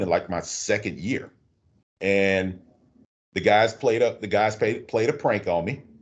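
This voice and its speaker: Moderately paced male speech, the background quiet. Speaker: bus driver, veteran and union rep. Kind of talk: casual interview.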